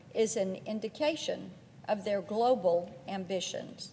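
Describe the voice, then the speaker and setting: A woman with an American accent has a normal speaking voice. She talks at a fairly slow pace with ordinary pitch variation. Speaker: U.S. senator. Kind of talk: Senate floor speech.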